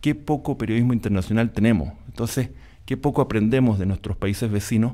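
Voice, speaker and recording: A man at medium pitch with a dark, mellow tone and ordinary pitch variation, on a very clean recording with a silent background. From Panama. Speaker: musician and journalist. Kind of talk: panel discussion.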